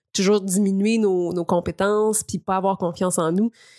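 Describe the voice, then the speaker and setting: In a very clean recording with a silent background, a woman talks at a fairly quick pace with a medium pitch and fairly even intonation. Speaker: columnist. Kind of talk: casual chat.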